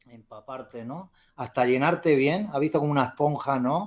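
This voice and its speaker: An ordinary speaking voice from a man, fairly high in pitch and fairly even in intonation, at a moderate pace, in a very clean recording with a silent background. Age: 60s. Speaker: novelist, retired teacher. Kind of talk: interview.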